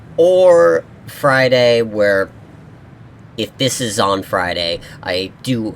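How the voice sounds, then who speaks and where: Pitch varies in an ordinary way. Noticeable background noise runs through the clip. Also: man. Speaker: gaming youtuber. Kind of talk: gameplay commentary. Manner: casual, rambling.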